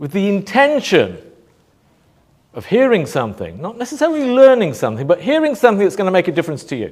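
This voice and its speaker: Loud and animated, a man is speaking. His pitch swings very widely. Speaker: motivational speaker. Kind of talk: talk to live audience. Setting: stage with audience.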